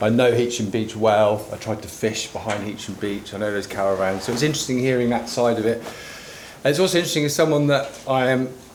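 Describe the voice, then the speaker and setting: A man with a Norfolk accent talks at a fairly quick pace and medium pitch, with ordinary pitch variation and hardly any pauses, over noticeable background noise and audible room echo. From England, Norfolk. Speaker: river conservation worker. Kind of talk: conference talk.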